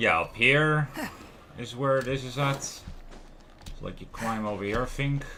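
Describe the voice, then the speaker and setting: Amid noticeable background noise and audible room echo, a man talks at a fairly slow pace with long, frequent pauses and ordinary pitch variation. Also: medium pitch for a man. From Netherlands. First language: Dutch. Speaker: gaming streamer. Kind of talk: live gameplay commentary.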